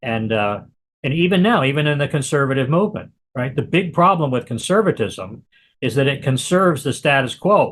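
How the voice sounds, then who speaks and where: Against a quiet background, a man with a fairly high, somewhat breathy voice uses lively intonation. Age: 60s. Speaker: author and activist. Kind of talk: interview. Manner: halting, many repetitions.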